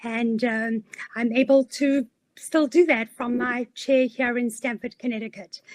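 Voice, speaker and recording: In a South African accent, a woman speaks at a fairly slow pace with a high pitch and fairly even intonation, the sound dry and close with no echo. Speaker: career coach. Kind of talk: webinar presentation.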